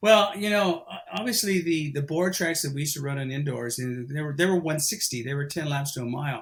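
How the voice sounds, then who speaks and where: Somewhat breathy and fairly high-pitched, a man talks at a very fast pace with lively intonation and hardly any pauses. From New Mexico, Los Lunas. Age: 60s. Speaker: former elite middle-distance runner. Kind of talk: podcast interview. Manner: hesitant, many fillers and repetitions.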